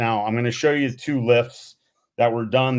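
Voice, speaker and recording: A man at medium pitch, monotone and flat, in a very clean recording with a silent background. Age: 60s. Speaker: motivational speaker and athletics coach. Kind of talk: presentation.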